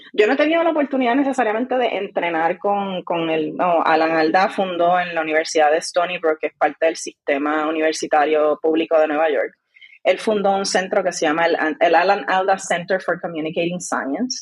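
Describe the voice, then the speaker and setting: Fairly low in pitch, a woman speaks fairly quickly in an unremarkable speaking voice. Her intonation is lively. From Puerto Rico, rural Vega Alta. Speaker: scientist and science communicator. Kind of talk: podcast interview.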